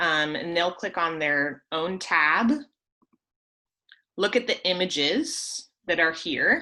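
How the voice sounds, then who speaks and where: This woman has a bright, sharp tone and ordinary pitch variation. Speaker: teacher trainer leading a curriculum webinar. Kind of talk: online teacher training webinar.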